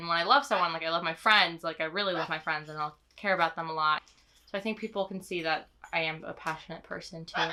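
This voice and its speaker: The voice is loud and very fast, with a bright, sharp tone. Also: woman. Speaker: interviewee. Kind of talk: interview answers. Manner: lively.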